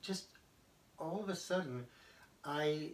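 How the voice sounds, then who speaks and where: A man at a very slow pace. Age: 70s. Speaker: army veteran. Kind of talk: personal testimony. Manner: halting, many fillers.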